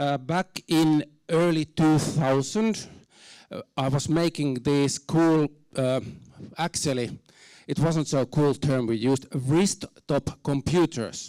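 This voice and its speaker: Speaking very slowly with a Finnish accent, a man has a fairly high, dark and mellow voice with ordinary pitch variation, recorded dry and close with no echo. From Finland. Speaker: university program director. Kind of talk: conference talk. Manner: halting, many fillers; reserved, not very expressive.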